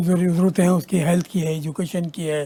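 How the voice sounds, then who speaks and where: You hear a man talking. His tone is dark and mellow. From Pakistan, Karachi. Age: 70s. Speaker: writer. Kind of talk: TV talk show discussion. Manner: formal.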